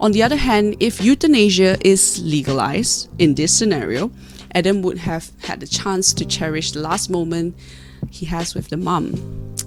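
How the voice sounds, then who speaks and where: Music sounds in the background as a woman talks at a moderate speed. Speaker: university student. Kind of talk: argumentative speech presentation. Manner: unscripted, some stuttering.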